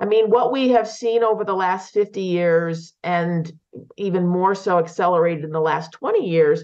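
The speaker has an ordinary speaking voice, moving at a fairly slow pace with fairly even intonation. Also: woman. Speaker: nonprofit executive director. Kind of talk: interview.

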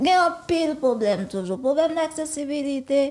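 Her pitch is high, and it moves in very wide swings. This woman speaks at a fairly slow pace over noticeable background noise. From Haiti, Port-au-Prince. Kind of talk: interview.

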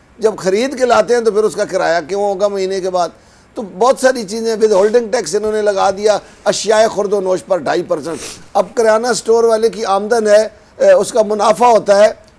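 A man with a high-pitched voice talks at a moderate pace. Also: ordinary pitch variation. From Pakistan. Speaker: traders' association leader; guest. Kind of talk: interview. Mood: aggrieved, argumentative about taxes.

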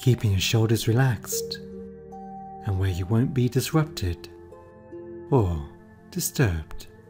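Over music in the background, a man with a very deep, low voice speaks at a very slow pace, his pitch swinging very widely. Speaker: meditation guide. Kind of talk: guided meditation. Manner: calm, slow-paced.

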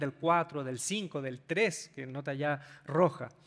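A man is speaking. His pace is fairly slow. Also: quiet background. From Chile. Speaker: pastor. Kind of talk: sermon. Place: stage. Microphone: handheld.

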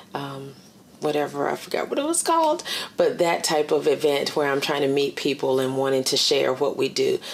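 A woman speaks with an American accent over light background noise. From Virginia. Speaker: director of a transitional jobs program; interviewee. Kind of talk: oral history interview. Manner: halting, many fillers. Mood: calm, reflective. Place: home room.

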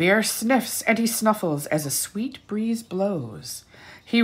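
Plain reading aloud, nothing more

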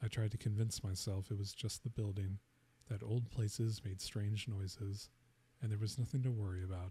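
A man whispers in a soft-spoken way. His voice is somewhat breathy. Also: dry sound with no echo. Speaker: ASMR storyteller. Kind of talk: first-person ghost story read aloud as a bedtime-style narration. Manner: soft-spoken, hushed near-whisper delivery; slow, suspenseful pacing that lingers on the knocks. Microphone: studio mic.

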